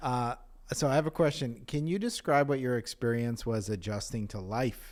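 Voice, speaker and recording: A man with an American accent speaks at a fairly quick pace, in a plain, everyday voice at medium pitch. His pitch varies in an ordinary way, and the recording is very clean with a silent background. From Virginia. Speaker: podcast host. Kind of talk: podcast interview.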